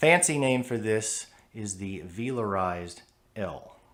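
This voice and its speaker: Here is a normal speaking voice from a man with an American accent. His pitch is medium and his intonation lively. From United States. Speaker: English teacher. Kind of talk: pronunciation lesson to camera.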